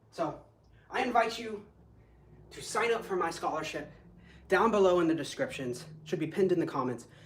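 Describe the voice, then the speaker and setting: A man speaks with an American accent at a moderate pace and a high pitch. There is audible room echo. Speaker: kung fu instructor. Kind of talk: live online class. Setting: live stream. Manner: animated.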